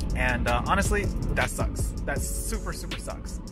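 Clear background music under a man's dry voice with no echo. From Michigan, USA. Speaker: English teacher in Japan. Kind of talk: casual vlog talk while driving. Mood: relaxed, wry. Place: car. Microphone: camera far.

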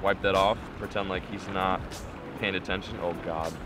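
Over music in the background, a man talks at a fairly quick pace in a dry sound with no echo. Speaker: fishing vlogger. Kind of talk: tutorial. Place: boat. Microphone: phone near.

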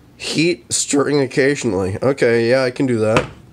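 Against noticeable background noise, a man speaks with fairly even intonation. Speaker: amateur video creator. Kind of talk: casual vlog chat. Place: kitchen. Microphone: phone near.

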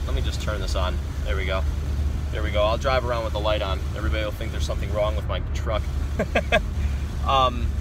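Noticeable background noise sits under a dry sound with no echo. A man talks at a very fast pace. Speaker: vlogger. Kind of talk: casual vlog chat. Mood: reflective, motivational. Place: car. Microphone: phone near.

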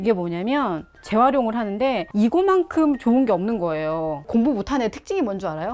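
Very wide pitch swings at a fairly quick pace. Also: woman. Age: 50s. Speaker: housewife. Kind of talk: casual talk in home interview. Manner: lively, chatty, cheerful.

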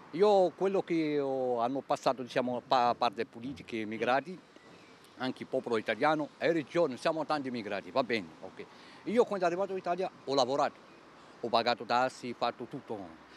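Over light background noise, a man with a medium pitch speaks at a fairly quick pace with lively intonation, in a dry sound with no echo. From Algeria. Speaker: unemployed job seeker. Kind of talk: street interview. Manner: broken Italian, emotional. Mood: aggrieved, insistent. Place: street. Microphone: handheld.

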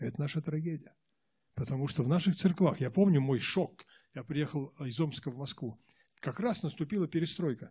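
A man's somewhat breathy, fairly high-pitched speech at a moderate pace, with ordinary pitch variation, long, frequent pauses and a quiet background. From Russia, Omsk region, Siberia; Russia. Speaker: Protestant church leader; guest. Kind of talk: interview answers. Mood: earnest, reflective. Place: church. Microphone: handheld.

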